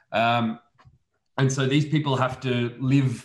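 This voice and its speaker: Speaking with an Australian accent, a man sounds somewhat breathy and keeps a fairly even intonation. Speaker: immunology researcher. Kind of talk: casual expert discussion.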